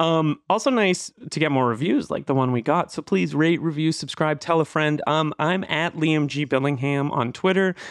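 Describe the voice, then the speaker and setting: An ordinary speaking voice from a man, fairly high in pitch with ordinary pitch variation, at a moderate pace, dry and close with no echo, over a quiet background. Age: 40s. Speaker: podcast host. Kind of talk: casual chat.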